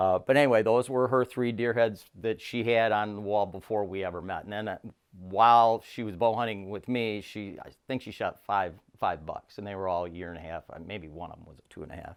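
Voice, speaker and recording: Over a very clean recording with a silent background, a man talks at a fairly quick pace in a fairly low pitch, with ordinary pitch variation and big swings in loudness. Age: 60s. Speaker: deer hunter. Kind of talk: casual chat. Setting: at home. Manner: halting.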